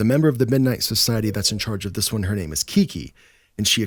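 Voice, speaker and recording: A man talks at a very fast pace in a fairly low pitch, with lively intonation. The recording is very clean, with a silent background. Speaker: podcast host.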